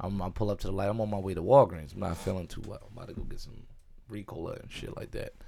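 A man talks very fast in a fairly low pitch, his tone dark and mellow. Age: 30s. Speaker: podcast co-host. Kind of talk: casual chat. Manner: animated.

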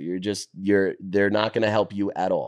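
Against a quiet background, a man with a New York accent speaks at a fairly low pitch and a fairly quick pace. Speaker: finance worker, former sports media staffer. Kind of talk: casual chat. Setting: in a condo, recorded on the road. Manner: loud.

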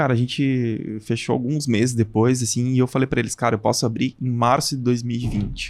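Hardly pausing, a man at medium pitch speaks at a moderate pace in a monotone, flat intonation with very even loudness. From southern Brazil, Passo Fundo (Rio Grande do Sul). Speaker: hairdresser and salon business owner. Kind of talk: casual chat.

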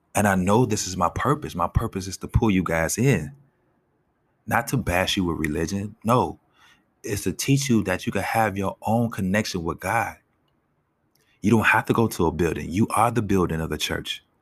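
A man speaks in a normal speaking voice at a moderate pace. His pitch is fairly low. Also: ordinary pitch variation, very clean recording, silent background. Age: 30s. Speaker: podcast host. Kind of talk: motivational faith talk.

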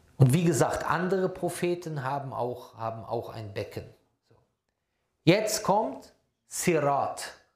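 A man speaks very slowly at a high pitch, with long, frequent pauses. His pitch swings very widely, his loudness shifts a lot, and the room echo is audible. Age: 40s. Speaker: Islamic preacher. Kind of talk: religious lecture.

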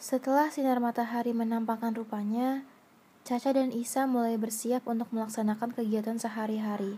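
Fairly even intonation in a natural reading voice

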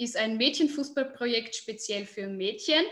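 A woman's high-pitched voice at a fairly slow pace. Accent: Burgenland. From Austria, southern Burgenland. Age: 20s. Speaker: football player and youth football coach. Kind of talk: interview. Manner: hesitant, many filler sounds.

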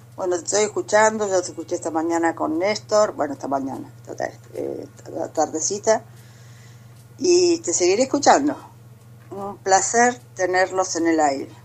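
A woman speaks at a moderate pace and medium pitch, her loudness swinging widely. Her pitch swings very widely, with long, frequent pauses. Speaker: caller. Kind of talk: casual chat.

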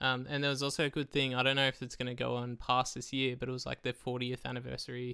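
At a very fast pace with hardly any pauses, a man with an Australian accent speaks in a medium pitch, his tone bright and sharp and his intonation monotone and flat. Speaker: guest, travel companion. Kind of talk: casual chat.

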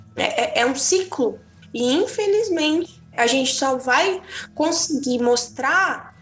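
A woman speaks at a very slow pace with lively intonation against noticeable background noise. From southern Brazil, Tubarão, Santa Catarina. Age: 20s. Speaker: podcast guest, young churchgoer. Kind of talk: casual chat about faith.

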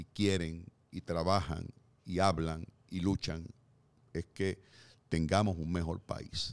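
Delivery is very slow. The intonation remains fairly even throughout. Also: man. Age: 60s. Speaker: podcast co-host, columnist. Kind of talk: casual discussion.

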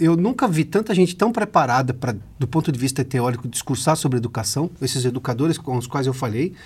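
Pitch leaps very widely in this man's speech. He talks fairly quickly. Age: 40s. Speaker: interviewer. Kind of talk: interview.

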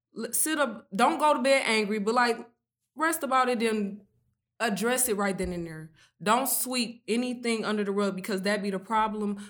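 This woman speaks at a moderate pace with a fairly high pitch and ordinary pitch variation. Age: 20s. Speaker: small business owner. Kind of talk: casual chat.

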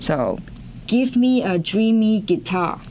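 A woman with a Hong Kong accent sounds enthusiastic, using ordinary pitch variation. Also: very clean recording, silent background. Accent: Hong Kong Cantonese-accented English. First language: Cantonese. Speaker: developer community manager. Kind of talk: interview.

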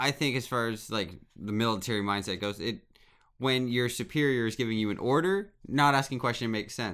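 A man at medium pitch uses an ordinary speaking voice with ordinary pitch variation and a fairly quick pace on a very clean recording with a silent background. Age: 30s. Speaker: podcast co-host. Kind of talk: casual chat.

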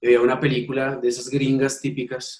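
Here a man uses a normal speaking voice at a medium pitch. He talks at a moderate pace. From Colombia. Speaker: ultimate frisbee coach and PE teacher. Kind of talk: interview.

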